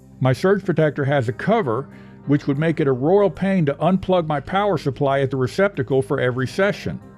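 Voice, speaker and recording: With music in the background, a man with a fairly high pitch speaks with lively intonation and very even loudness. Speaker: home music hobbyist. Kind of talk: tutorial narration. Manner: dry, joking.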